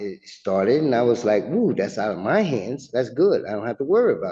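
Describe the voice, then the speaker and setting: This is a man speaking. His pitch sits in the medium range. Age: 60s. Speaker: tenant in eviction hearing. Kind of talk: court testimony. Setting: courtroom. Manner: halting.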